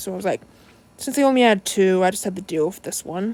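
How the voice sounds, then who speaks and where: The voice belongs to a woman. Her speech carries an American accent. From United States. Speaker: toy reviewer. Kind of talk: casual vlog review. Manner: halting, self-correcting.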